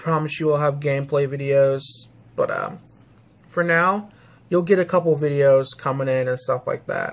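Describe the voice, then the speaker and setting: A man with an American accent speaks at a moderate pace in a fairly high, somewhat breathy voice. His intonation is fairly even, broken by long, frequent pauses. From St. Louis, US Midwest. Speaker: YouTuber gamer. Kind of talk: casual chat, vlog update. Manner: rambling, casual. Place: home room. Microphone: webcam.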